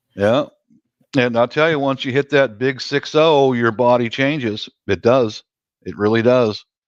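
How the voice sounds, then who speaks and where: In a normal speaking voice, a man talks at a fairly slow pace with a medium pitch and ordinary pitch variation, recorded dry and close with no echo. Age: 60s. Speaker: live-stream chat host. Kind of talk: casual chat.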